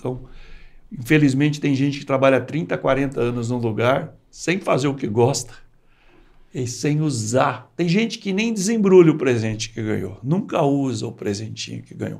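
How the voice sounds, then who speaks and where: At a moderate pace and medium pitch, a man uses an ordinary speaking voice with lively intonation. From Brazil, rural west of São Paulo state. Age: 60s. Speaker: entrepreneur. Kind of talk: interview.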